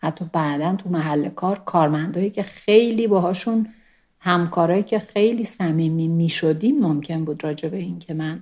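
An ordinary speaking voice from a woman, fairly low in pitch, with ordinary pitch variation and a moderate pace. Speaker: former expelled university student. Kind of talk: interview testimony.

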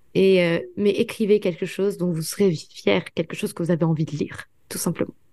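Fairly quick and fairly even in intonation, a woman speaks at a medium pitch. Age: 20s. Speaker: author and student. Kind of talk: interview. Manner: hesitant fillers.

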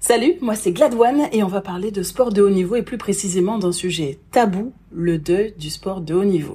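A woman with a somewhat breathy, dark, mellow tone talks at medium pitch and a moderate pace, with ordinary pitch variation. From French Antilles. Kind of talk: personal testimony monologue.

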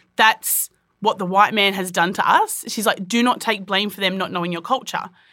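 With an Australian accent, a woman speaks at a fairly quick pace and a medium pitch. Her tone is bright and sharp, and her intonation stays fairly even. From Richmond, New South Wales, Australia. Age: 30s. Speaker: midwife. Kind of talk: interview.

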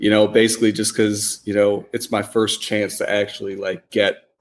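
A man's fairly low voice at a moderate pace, a plain, everyday voice. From Wisconsin, Milwaukee. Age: 30s. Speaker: podcast guest. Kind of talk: casual interview.

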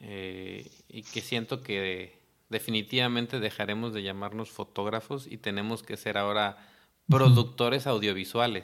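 Here is an ordinary speaking voice from a man at medium pitch. He goes at a fairly slow pace with fairly even intonation. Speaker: podcast host and photographer. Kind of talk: interview.

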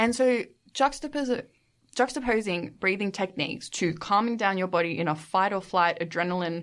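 A woman of medium pitch speaks with an Australian accent. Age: 20s. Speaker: podcast guest, master's student. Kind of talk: casual chat.

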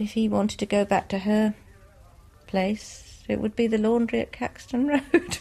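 A woman speaks in an English accent at a fairly high pitch. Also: ordinary pitch variation, moderate pace. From England. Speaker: niece of the documentary's subject. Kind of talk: interview.

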